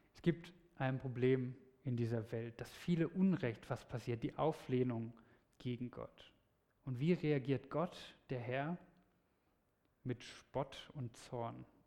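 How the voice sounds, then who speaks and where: His tone is dark and mellow, with medium pitch and ordinary pitch variation. This man's loudness swings widely, and he takes long, frequent pauses. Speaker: preacher. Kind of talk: sermon; sermon to a congregation, lively storytelling with a teaching tone. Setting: church. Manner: animated, conversational, explaining clearly.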